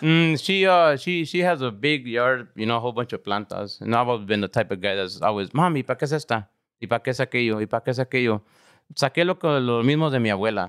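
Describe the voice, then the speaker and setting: Someone with an American accent speaks at a very fast pace with lively intonation. The recording is very clean, with a silent background and a dry, close sound with no echo. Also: man, medium pitch for a man. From Los Angeles Harbor area, California. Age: 40s. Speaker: herbalist. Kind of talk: health advice; casual chat. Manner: animated.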